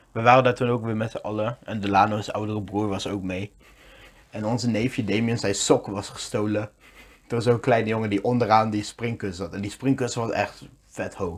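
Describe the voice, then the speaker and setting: A man's fairly low voice at a fairly quick pace, monotone and flat in intonation. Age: 20s. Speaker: podcast co-host. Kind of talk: casual chat.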